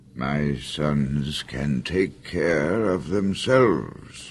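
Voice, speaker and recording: A man's put-on character voice, very deep and low with ordinary pitch variation, at a very slow pace over clear background noise. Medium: audio drama. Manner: calm, steady.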